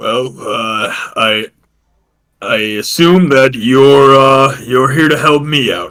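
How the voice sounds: A man's put-on character voice at medium pitch, delivered at a very slow pace.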